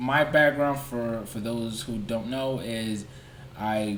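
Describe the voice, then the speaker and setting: Audible room echo surrounds a man whose voice is fairly low in pitch. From Nigeria. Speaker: YouTuber and pilot. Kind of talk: livestream Q&A. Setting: livestream. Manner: casual, conversational with fillers.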